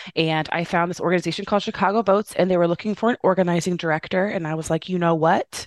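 A woman with an American accent talks at a very fast pace with fairly even intonation, the sound dry and close with no echo. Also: fairly low pitch for a woman. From Indiana, US Midwest. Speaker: youth voting organization executive. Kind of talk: interview.

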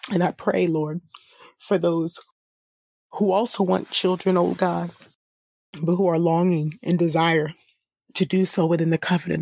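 Long, frequent pauses break up a woman's fairly low, dark, mellow voice. Her intonation is monotone and flat, and her loudness stays very even. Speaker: Bible reader and podcast host. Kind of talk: scripture reading, then fervent spoken prayer. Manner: earnest, pleading, repeating 'oh God' and 'oh Lord'; steady, measured reading of long lists of names.

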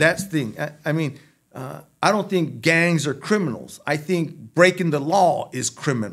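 A man's fairly high voice with vocal fry, a moderate pace and ordinary pitch variation. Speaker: former prisoner and reentry program director. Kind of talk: casual interview chat. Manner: halting.

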